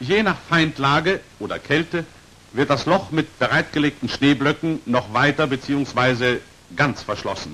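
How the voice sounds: With lively intonation, a man talks at a fairly slow pace and pauses only a little. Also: medium pitch for a man, fairly bright tone.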